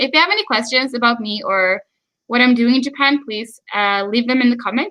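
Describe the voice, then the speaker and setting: Her tone bright and sharp, a woman speaks at a fairly high pitch and moderate pace with ordinary pitch variation. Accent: American. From Sweden. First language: Swedish. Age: 20s. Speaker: YouTuber. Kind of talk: live stream chat. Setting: live stream. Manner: hesitant with fillers.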